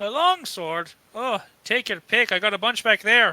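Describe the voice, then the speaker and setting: In a very clean recording with a silent background, a man uses a put-on character voice at a high pitch and moderate pace. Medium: actual play. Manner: warm, wry.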